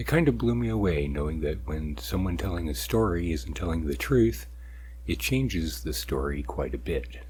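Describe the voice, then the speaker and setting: At a moderate pace, a man with a very deep, low pitch and vocal fry speaks with ordinary pitch variation. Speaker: ASMR narrator. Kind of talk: casual introduction to listeners.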